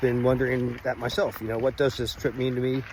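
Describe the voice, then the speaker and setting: A man talks at a fairly quick pace in a relaxed tone. Noticeable background noise sits behind him. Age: 60s. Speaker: health vlogger. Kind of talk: casual vlog monologue. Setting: outdoors on a hiking trail. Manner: relaxed, with many filler words.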